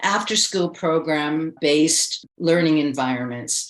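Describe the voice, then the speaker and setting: A woman speaks in a very deep, low voice. She has a Canadian accent. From Canada. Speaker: educator and teacher trainer. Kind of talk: interview answer. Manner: mild-mannered.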